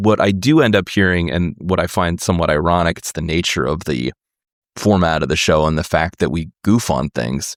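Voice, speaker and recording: This man's voice sits very deep and low, with vocal fry. He speaks at a moderate pace in a very clean recording with a silent background. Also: ordinary pitch variation, dry, close sound with no echo. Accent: American. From United States. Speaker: podcast host and musician. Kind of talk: interview conversation.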